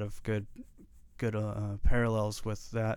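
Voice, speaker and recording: A man with a normal speaking voice talks at a moderate pace with fairly even intonation. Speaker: podcast host. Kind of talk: interview, conversational.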